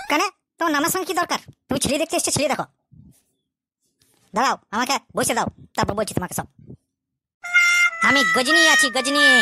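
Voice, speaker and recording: In a cartoonish character voice, a woman speaks high and fairly quickly with lively intonation, the sound dry and close with no echo. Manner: brash, commanding.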